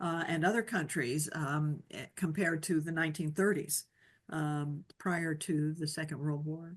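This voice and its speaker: A plain, everyday voice at a fairly slow pace, over a quiet background. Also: woman. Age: 60s. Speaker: podcast host. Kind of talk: interview.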